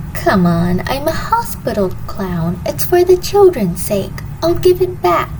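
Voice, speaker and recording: Loud background noise plays under a female-sounding, put-on character voice moving at a fairly slow pace. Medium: read story. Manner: exaggerated cheerful then ordinary.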